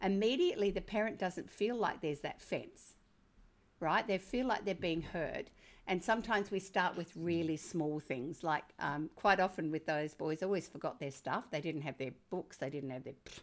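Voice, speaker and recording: With an Australian accent, a woman speaks at a moderate pace with lively intonation. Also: fairly low pitch for a woman, very clean recording, silent background. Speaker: parenting author. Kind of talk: interview.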